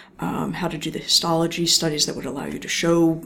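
Speaking at a fairly low pitch with vocal fry, a woman has a slight Philadelphia accent. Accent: general American, little Philadelphia. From US Northeast, Philadelphia area. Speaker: neuroscience professor. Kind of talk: interview.

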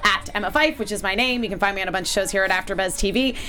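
A woman talks at a very fast pace with an American accent. Noticeable background noise runs under her voice. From US Northeast (Connecticut). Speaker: TV aftershow host. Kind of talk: casual chat. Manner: animated.

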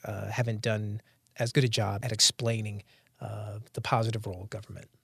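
Over a quiet background, a man with a plain, everyday voice talks at a fairly quick pace. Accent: American. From North Carolina, US. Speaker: economist. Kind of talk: interview monologue.

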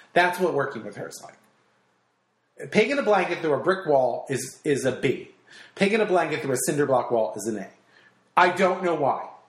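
A high-pitched man with very wide pitch swings and big swings in loudness, at a fairly quick pace, with long, frequent pauses and audible room echo. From New Jersey. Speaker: radio host and stand-up comic. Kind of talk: casual chat. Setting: in a home.

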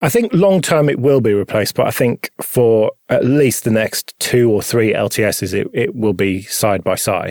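In a dry, close sound with no echo, a man with a plain, everyday voice and medium pitch talks at a moderate pace with hardly any pauses. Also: lively intonation, very even loudness.

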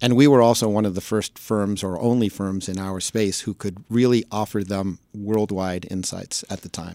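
In an American accent, a man with a fairly low pitch and a dark, mellow tone talks at a moderate pace with hardly any pauses and fairly even intonation, in a very clean, silent recording that sounds dry and close with no echo. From New York City (Manhattan). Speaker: sports agency founder. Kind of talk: interview.

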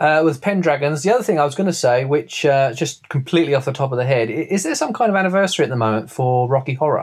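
A man's fairly high voice at a very fast pace with hardly any pauses and lively intonation, on a very clean recording over a silent background. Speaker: co-host.

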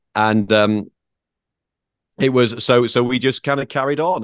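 Intonation stays fairly even as a man talks with a British accent. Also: dry, close sound with no echo. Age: 40s. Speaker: automotive journalist. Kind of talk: casual chat.

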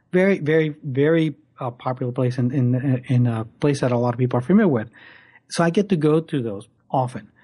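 This man's voice sits at medium pitch, somewhat breathy, with a dark, mellow tone. His pitch varies in an ordinary way over a quiet background. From Puerto Rico (San Juan). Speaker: wildlife photographer and workshop instructor. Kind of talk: interview. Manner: halting, many repetitions.

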